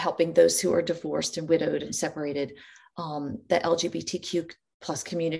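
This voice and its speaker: Against a quiet background, a woman talks very fast in a fairly low, dark and mellow voice with vocal fry and flat, monotone intonation. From New Orleans, Louisiana. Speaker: liturgical composer and church music director. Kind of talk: casual interview.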